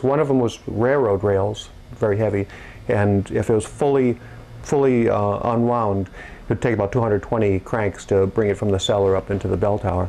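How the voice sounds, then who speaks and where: With an American accent, a man speaks at a moderate pace. His loudness stays very even and his pitch varies an ordinary amount. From New Hampshire, US. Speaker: town clock keeper. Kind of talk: interview. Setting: his place of business. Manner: halting, many fillers and repeats.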